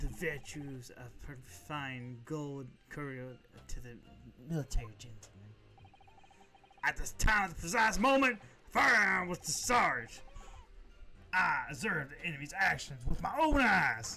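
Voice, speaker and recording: Putting on a strained character voice at a fairly high pitch, a man talks at a moderate pace with long, frequent pauses. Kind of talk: formal, stiff, old-fashioned.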